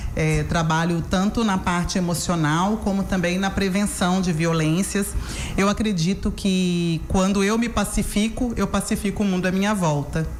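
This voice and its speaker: With a Minas Gerais accent, a woman speaks in fairly even intonation amid audible room echo and noticeable background noise. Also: medium pitch for a woman, moderate pace, very even loudness. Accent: Minas Gerais Brazilian Portuguese. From Minas Gerais, Brazil (Belo Horizonte). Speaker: therapist and educator. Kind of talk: radio interview.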